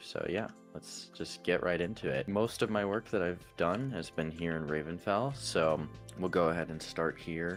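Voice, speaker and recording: Music plays in the background as a man with a very deep, low pitch speaks at a fairly slow pace in a relaxed tone, with ordinary pitch variation. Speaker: gamer. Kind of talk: casual game world tour narration.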